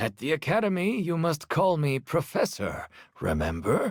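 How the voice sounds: Putting on a cartoonish character voice, a man speaks at fairly high pitch and a moderate pace, with very wide pitch swings.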